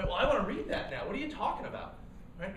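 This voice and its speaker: A man speaks in an animated tone. Noticeable background noise and audible room echo surround him. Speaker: startup cofounder and speaker. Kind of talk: workshop talk. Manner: fast.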